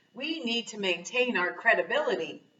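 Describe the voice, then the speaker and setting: A woman puts on a growling character voice at a fairly high pitch. She uses lively intonation and keeps a moderate pace. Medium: read story. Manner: growling, cold.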